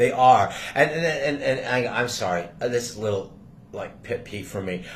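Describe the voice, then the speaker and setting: There is noticeable background noise and audible room echo as a man talks at a moderate pace. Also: medium pitch for a man, big swings in loudness. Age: 60s. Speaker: channel owner, faith teacher. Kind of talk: casual faith conversation. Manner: halting, many repeated words.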